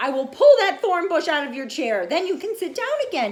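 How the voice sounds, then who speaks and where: An extremely high, put-on character voice with very wide pitch swings, a fairly quick pace and light background noise. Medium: read story. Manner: kind, reassuring.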